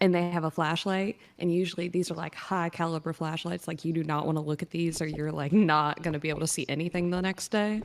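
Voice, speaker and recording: A woman talks at a very fast pace with hardly any pauses, in a slight Southern US accent. Her pitch is fairly low and her intonation fairly even. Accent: slight Southern twang. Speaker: caller. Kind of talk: casual chat.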